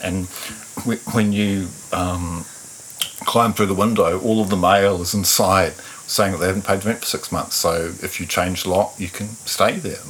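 With noticeable background noise behind him, the man uses a fairly low pitch and fairly even intonation while keeping a moderate pace. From New Zealand, Taranaki. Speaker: musician. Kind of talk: interview conversation. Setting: in-person recording, same room.

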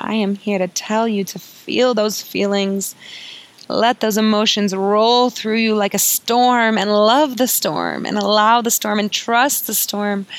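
Noticeable background noise accompanies a woman speaking at a fairly slow pace. Her medium-pitched voice has a soothing, gentle tone and fairly even intonation. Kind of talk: guided meditation. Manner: soft, slow and soothing, with gentle sighs and pauses, inviting and warm.

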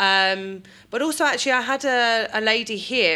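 A bright, sharp voice in a British accent shows ordinary pitch variation on a very clean recording with a silent background. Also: woman. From UK. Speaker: midwife. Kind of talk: interview. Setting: hospital birthing room.

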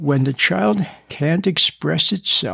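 Speaking slowly, a man with a fairly high pitch, ordinary pitch variation, and a bright, sharp tone shows vocal fry and a slightly husky edge.

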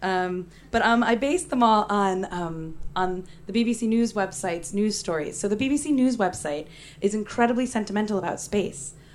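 A woman with an ordinary speaking voice, medium in pitch, talks at a moderate pace with lively intonation. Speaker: poet and performer. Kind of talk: stage poetry performance. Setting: stage with audience.

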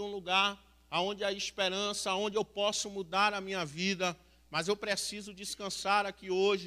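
Raised and projected, a man's high-pitched voice has a bright, sharp tone and monotone, flat intonation at a moderate pace. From Salvador, Bahia, Brazil. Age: 30s. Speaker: recovered homeless man, mission member. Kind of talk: testimony. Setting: church.

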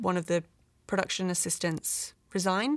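A woman with a British accent, fairly low in pitch, with ordinary pitch variation on a very clean recording with a silent background. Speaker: visual effects producer. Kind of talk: casual interview.

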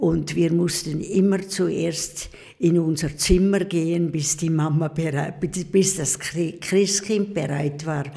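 Against noticeable background noise, a woman speaks very slowly at a fairly low pitch with fairly even intonation. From eastern Switzerland (Pfäfers, St. Gallen). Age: 80s+. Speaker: nun. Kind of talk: casual interview. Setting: convent.

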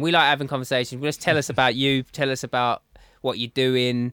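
This man has a medium pitch. He speaks with an Essex accent. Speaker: podcast host. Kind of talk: casual, slangy. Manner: talkative, chatty.

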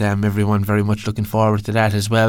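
In an Irish accent, a man talks at a very fast pace. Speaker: podcast host. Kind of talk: casual chat.

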